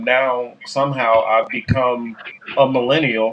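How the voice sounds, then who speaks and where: Fairly slow, medium-pitched speech from a man. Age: 40s. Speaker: podcast host. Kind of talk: casual chat. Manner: halting, many fillers.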